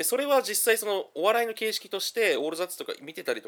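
A man at a very fast pace. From Kanto region, Japan. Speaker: podcast host, comedy commentator. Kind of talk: solo commentary monologue. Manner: casual with many fillers.

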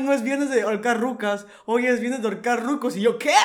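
With a Mexican accent, a man with an extremely high voice talks at a moderate pace in an animated tone, his pitch varying in an ordinary way, with audible room echo. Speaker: podcast co-host. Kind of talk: casual chat.

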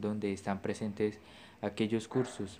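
In a dark, mellow tone, a man speaks at a fairly low pitch and a fairly slow pace with monotone, flat intonation. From Colombia. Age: young. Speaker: podcaster on affiliate marketing. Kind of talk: personal testimony monologue.

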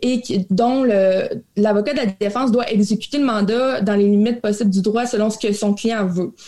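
A woman talks at a moderate pace in a fairly high pitch, her pitch varying in an ordinary way. Noticeable background noise runs behind her. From Quebec, Abitibi. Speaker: crown prosecutor. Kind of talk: interview.

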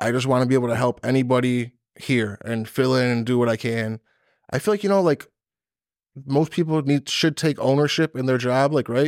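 A man with an ordinary speaking voice at a medium pitch, ordinary pitch variation and a fairly quick pace, in a dry, close sound with no echo and a very clean recording with a silent background. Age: 40s. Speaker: bartender and doorman. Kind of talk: casual chat. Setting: studio.

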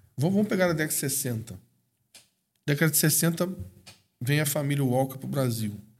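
A man's fairly high voice carries lively intonation and a somewhat breathy quality. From Brazil, raised in Espírito Santo, Minas and Rio de Janeiro. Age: 40s. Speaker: missionary. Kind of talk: interview.

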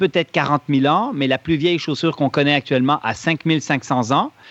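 At a moderate pace, a man with an unremarkable speaking voice and fairly high pitch shows ordinary pitch variation in a dry, close sound with no echo. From Switzerland. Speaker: running injury expert, clinic founder. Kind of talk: podcast interview.

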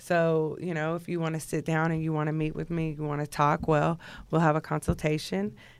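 With a Texan accent, a woman speaks at a very deep, low pitch and a fairly quick pace. Her intonation is fairly even, and the recording is very clean with a silent background. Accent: Texan American. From Texas, Houston area. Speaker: rapper's personal manager. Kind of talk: casual interview. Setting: studio.

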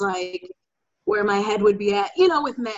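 The voice has a Chicago accent. Its intonation is lively. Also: woman. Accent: Chicago area American. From Chicago suburbs, US. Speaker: guest. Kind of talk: casual discussion.

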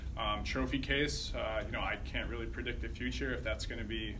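Someone speaks at a moderate pace amid noticeable background noise and audible room echo. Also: man. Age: 30s. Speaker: startup founder. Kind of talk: on-stage interview.

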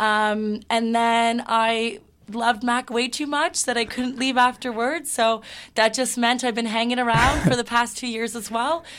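A normal speaking voice with a Canadian accent, fairly even intonation, a fairly slow pace, and a very clean recording with a silent background. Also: woman, fairly high pitch for a woman. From Toronto, Canada. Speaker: university recruitment staff, former student leader. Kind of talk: casual interview.

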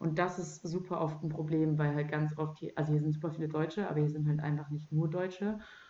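A woman's dark, mellow voice, fairly low in pitch, at a moderate pace with monotone, flat intonation. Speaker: podcast host. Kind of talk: casual chat. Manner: loud.

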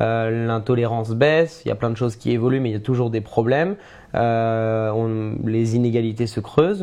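Medium pitch and a dark, mellow tone from a man, with ordinary pitch variation and a moderate pace. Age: 20s. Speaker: media founder. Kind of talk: casual chat. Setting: live stream.

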